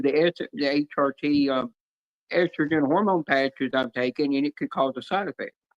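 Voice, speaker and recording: Dry and close with no echo, a man's fairly high voice moves at a fairly quick pace in a Southern US accent. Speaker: livestreamer. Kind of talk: casual chat. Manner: fast.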